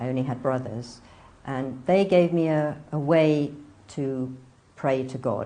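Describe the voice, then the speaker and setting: A woman with an English accent and very deep, low pitch speaks in a dark, mellow tone at a fairly slow pace, with ordinary pitch variation, long, frequent pauses and audible room echo. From northern England, near Manchester. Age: 60s. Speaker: convert telling her story. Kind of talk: interview testimony.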